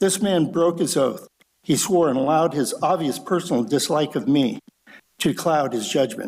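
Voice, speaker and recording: This man has a fairly high pitch with vocal fry. His intonation is lively. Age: 70s. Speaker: public commenter at city council meeting. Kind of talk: public comment reading prepared statement.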